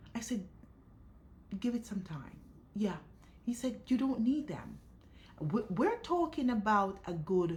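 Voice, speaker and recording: Her voice somewhat breathy, a woman speaks at a fairly slow pace with lively intonation. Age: 50s. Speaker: lifestyle vlogger. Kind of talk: personal vlog monologue. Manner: stutters; emotional, repetitive.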